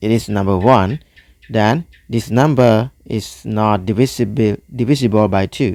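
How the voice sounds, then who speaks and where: A man with a non-native accent talks at a fairly slow pace in a fairly low pitch, with ordinary pitch variation. The recording is very clean, with a silent background. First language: not English. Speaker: math tutor. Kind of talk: tutorial. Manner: halting.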